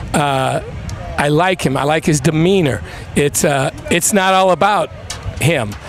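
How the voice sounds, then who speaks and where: A man's fairly high voice at a fairly slow pace, with long, frequent pauses, very even loudness, ordinary pitch variation and music in the background. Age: 60s. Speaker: college football coach. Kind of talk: live sports broadcast interview.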